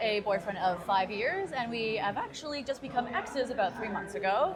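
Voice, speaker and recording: A woman with a Canadian accent talks at a fairly quick pace and a fairly high pitch, with lively intonation, amid audible room echo and noticeable background noise. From Toronto, Canada. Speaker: digital nomad. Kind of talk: casual chat. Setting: at a conference.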